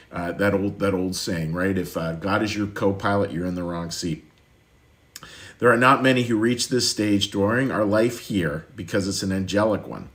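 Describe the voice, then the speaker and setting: The voice moves at a moderate pace with ordinary pitch variation amid audible room echo. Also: man, fairly low pitch for a man. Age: 60s. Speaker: pastor. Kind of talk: sermon. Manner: halting, frequent repetitions.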